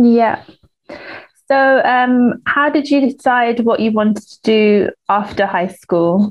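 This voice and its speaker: A woman with a British accent talks very slowly at a fairly high pitch, using ordinary pitch variation. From Uganda. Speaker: podcast host and scientist. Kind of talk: interview conversation. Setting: video call.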